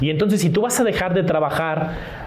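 A man speaks at a moderate pace with ordinary pitch variation. The room echo is audible and the background noise noticeable. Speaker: finance podcast co-host, former banker. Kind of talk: casual chat. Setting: live stream.

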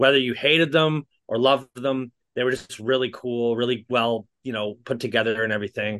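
This man has a normal speaking voice at medium pitch. He talks fairly quickly with ordinary pitch variation. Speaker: podcast co-host. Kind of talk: casual chat.

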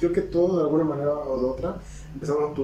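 A man speaks in a Mexican accent. Audible room echo surrounds his voice. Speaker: podcast co-host. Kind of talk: casual chat.

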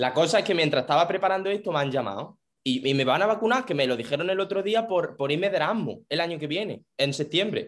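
Barely pausing, a man talks at a very fast pace with lively intonation. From Spain, Jaén city. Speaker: podcast host. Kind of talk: casual chat. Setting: video call.

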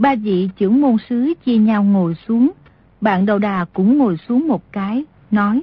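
Somewhat breathy and fairly high-pitched, a woman speaks with lively intonation at a very slow pace. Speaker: audiobook narrator. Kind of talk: reading aloud, story narration.

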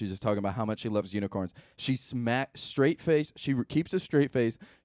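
Dry and close with no echo, the recording captures a man with an ordinary speaking voice talking fairly quickly at a medium pitch. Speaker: podcast host. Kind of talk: casual chat. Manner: joking.

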